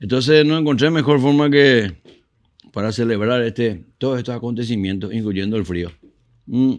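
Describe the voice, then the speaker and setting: Speaking at a moderate pace, a man has an ordinary speaking voice, medium pitch and ordinary pitch variation. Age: 60s. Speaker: musician and show host. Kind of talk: casual interview chat.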